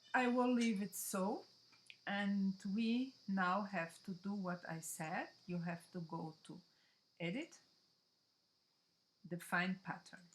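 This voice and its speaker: A woman speaks at a very slow pace, somewhat breathy. Her speech has long, frequent pauses. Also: medium pitch for a woman, lively intonation. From Brazil. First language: Portuguese. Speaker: digital scrapbooking designer. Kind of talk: tutorial. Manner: halting.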